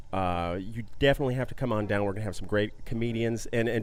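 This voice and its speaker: A man speaks at a medium pitch. His pace is very fast, with ordinary pitch variation. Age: 30s. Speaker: comedy radio co-host. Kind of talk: casual chat. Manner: animated.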